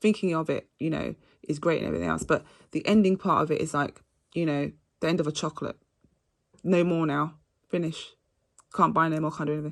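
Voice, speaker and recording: Against a quiet background, a woman with a very deep, low pitch and vocal fry talks very fast in an animated tone, with long, frequent pauses. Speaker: astrology reader. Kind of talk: astrology reading monologue.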